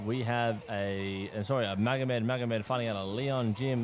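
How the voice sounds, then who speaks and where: A man talks with fairly even intonation at a medium pitch and a moderate pace, noticeable background noise behind him. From Australia. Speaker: fight commentator and announcer. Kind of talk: live commentary.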